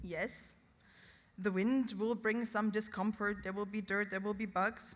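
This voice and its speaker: In a somewhat breathy voice, a woman speaks at a fairly slow pace and medium pitch, her intonation monotone and flat. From Germany, Hessen. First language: German (Hessian dialect). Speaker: conference official giving opening speech. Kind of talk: ceremonial speech.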